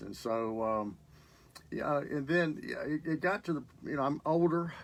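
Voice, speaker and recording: A man speaking at a fairly slow pace. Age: 60s. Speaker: recovering alcoholic, program graduate. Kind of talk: interview testimony. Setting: radio studio. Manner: halting, many fillers.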